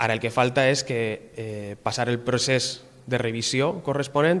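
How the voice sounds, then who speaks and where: The speaker talks at a fairly quick pace with fairly even intonation. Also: man. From Valencia, Gandia; Valencia. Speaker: doctoral researcher in acoustics. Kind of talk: interview. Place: home room. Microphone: handheld.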